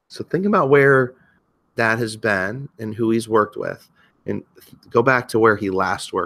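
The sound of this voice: Ordinary pitch variation in an unforced reading voice, quiet background behind it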